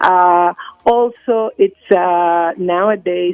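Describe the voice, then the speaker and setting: With ordinary pitch variation, a woman speaks in a fairly low voice. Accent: non-native. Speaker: UN agency communications official. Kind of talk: radio interview. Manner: halting, many fillers.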